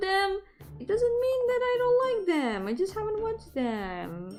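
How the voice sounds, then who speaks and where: With a Spanish accent, a woman speaks in an animated tone, her pitch swinging very widely. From Spain. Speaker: VTuber streamer. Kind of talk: casual live-stream chat while drawing.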